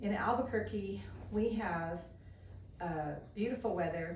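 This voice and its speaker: Noticeable background noise and audible room echo around a woman's lively intonation. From US (military family, moved around). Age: 60s. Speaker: yoga teacher trainee. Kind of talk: self-introduction monologue. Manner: casual with frequent fillers.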